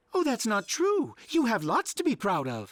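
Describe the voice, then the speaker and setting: A cartoonish character voice, fairly high in pitch, comes through on a very clean recording with a silent background. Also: moderate pace. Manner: polite, mild.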